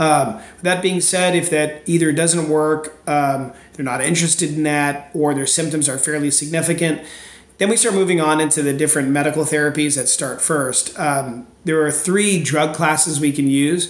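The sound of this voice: A man with a fairly high pitch, fairly even intonation and a moderate pace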